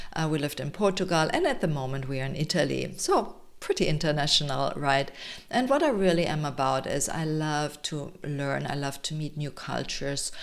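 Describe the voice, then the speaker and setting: A woman with a German accent, very deep and low in pitch, with ordinary pitch variation at a moderate pace and hardly any pauses. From Germany, Munich, Bavaria. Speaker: health coach and summit organizer. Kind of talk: presentation to an online audience.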